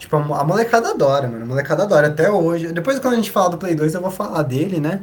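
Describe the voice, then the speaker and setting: Over noticeable background noise and audible room echo, a man talks at a very fast pace with a high pitch and lively intonation. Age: 20s. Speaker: podcast host, historian. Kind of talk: casual chat.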